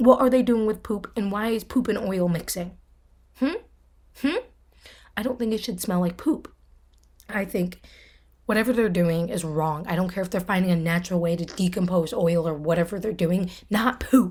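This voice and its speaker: Pausing long and often, a woman talks in a somewhat breathy voice with ordinary pitch variation. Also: medium pitch for a woman, moderate pace. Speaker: podcast host. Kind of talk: casual solo chat. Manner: animated, filler-heavy.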